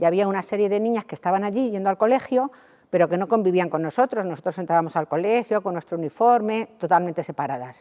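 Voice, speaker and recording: A woman's medium-pitched voice, dark and mellow in tone, with lively intonation and a very fast pace, in dry, close sound with no echo. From Spain, Toledo. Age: 70s. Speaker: charity volunteer coordinator. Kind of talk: interview.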